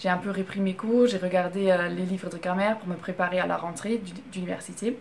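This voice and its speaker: A woman's intonation stays fairly even as she talks at a moderate speed. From Germany. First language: German (speaking French). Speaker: vlogger. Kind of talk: casual storytelling vlog. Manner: halting, many fillers.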